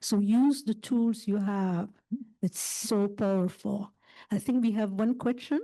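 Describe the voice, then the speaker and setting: A woman with a French accent talks at a fairly slow pace in a fairly high, somewhat breathy voice with a dark, mellow tone, fairly even intonation and very even loudness. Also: quiet background. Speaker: panel moderator. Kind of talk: panel discussion.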